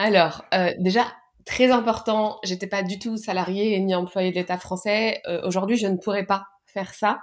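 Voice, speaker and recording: The intonation stays fairly even. It is an ordinary speaking voice. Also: woman, medium pitch for a woman. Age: 30s. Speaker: public sector digital worker. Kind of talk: interview.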